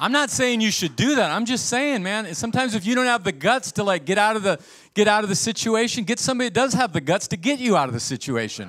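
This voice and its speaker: Barely pausing, a man rattles along at a very fast pace with a high pitch, lively intonation and an animated tone. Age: 60s. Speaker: pastor. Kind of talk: sermon. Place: church. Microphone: handheld.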